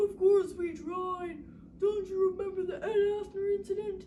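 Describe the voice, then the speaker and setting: An extremely high-pitched, put-on character voice over clear background noise. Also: moderate pace. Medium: read story. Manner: scolding.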